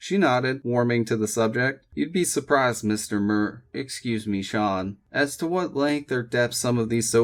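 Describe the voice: The delivery is plain reading aloud. Pitch variation is ordinary.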